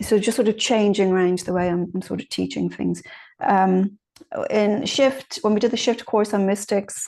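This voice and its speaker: A woman speaks at a medium pitch with a dark, mellow tone. Her intonation stays fairly even over a quiet background. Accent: Irish. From Ireland. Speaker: mediumship teacher. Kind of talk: online class talk. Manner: fast.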